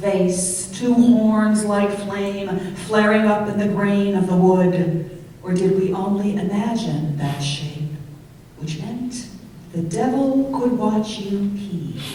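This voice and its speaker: Through noticeable background noise, a woman at medium pitch with ordinary pitch variation speaks at a very slow pace. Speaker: poet. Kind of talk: poetry reading.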